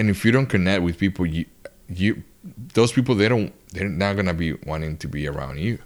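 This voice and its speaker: A man's very deep, low voice with a Spanish accent, lively intonation and a fairly quick pace. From Dominican Republic. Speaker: touring guitarist. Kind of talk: casual chat. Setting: at his home.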